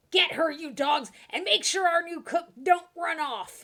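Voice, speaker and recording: A woman puts on a character voice, raspy and extremely high, at a fairly slow pace. Her loudness swings a lot. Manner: gruff, bossy.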